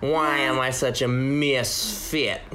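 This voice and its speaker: A man puts on a character voice at medium pitch. Clear background noise is audible. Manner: lisping.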